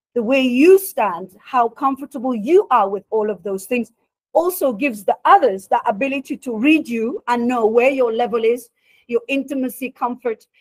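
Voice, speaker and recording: A woman talks loudly at a moderate pace, her high pitch moving in lively intonation. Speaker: career coach presenter. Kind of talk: workshop talk.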